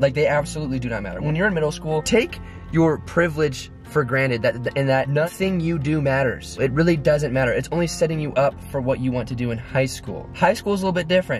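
A man at a very fast pace, dry sound with no echo, and clear music in the background. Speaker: vlogger giving advice. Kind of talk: casual vlog chat. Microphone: phone near.

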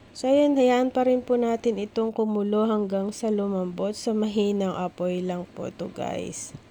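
Over noticeable background noise, a woman talks at a moderate pace with hardly any pauses. Her voice is fairly high and her intonation fairly even. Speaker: cooking vlogger. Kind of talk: cooking tutorial.

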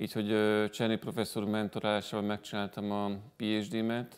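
A man speaks in a monotone, flat intonation at a fairly low pitch. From Hungary. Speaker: breast cancer surgeon; guest. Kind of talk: TV studio interview. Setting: TV studio. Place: studio. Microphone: lapel.

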